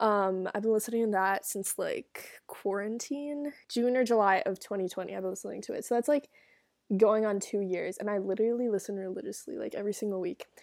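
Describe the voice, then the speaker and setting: A woman talks fairly quickly in a plain, everyday voice, fairly high in pitch with ordinary variation. The recording is very clean, with a silent background. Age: young. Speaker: solo podcaster, college student. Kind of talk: casual solo chat, reading and reacting to advice posts. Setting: dorm room. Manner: chatty, many fillers.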